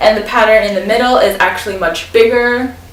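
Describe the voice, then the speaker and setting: A woman keeps a moderate pace while noticeable background noise and audible room echo surround her voice. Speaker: fashion vlogger. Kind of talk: try-on haul video. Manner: casual, filler-heavy.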